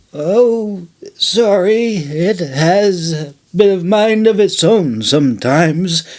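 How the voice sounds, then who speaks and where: A man's put-on character voice, high in pitch, at a very slow pace. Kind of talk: surprised, innocent granny voice. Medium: read story. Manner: chirpy, feigned innocence.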